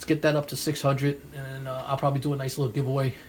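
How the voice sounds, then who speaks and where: A man speaks with a New York accent. His voice is somewhat breathy. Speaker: comic book collector and YouTuber. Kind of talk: live stream chat. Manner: casual, rambling with fillers.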